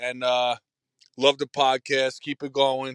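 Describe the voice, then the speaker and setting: A man with a New York accent talks at a moderate pace and medium pitch, his bright, sharp tone dry and close with no echo. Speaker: caller. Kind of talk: voicemail rant.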